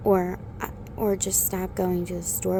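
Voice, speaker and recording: A soft-spoken woman talks at a fairly slow pace. Noticeable background noise is present. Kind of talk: ASMR relationship talk.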